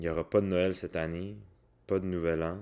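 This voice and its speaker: A calm tone in a Quebec accent, on a very clean recording with a silent background. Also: man. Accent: Québécois French. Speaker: wellness coach and podcaster. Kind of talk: casual solo podcast monologue. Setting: at home. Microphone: new microphone.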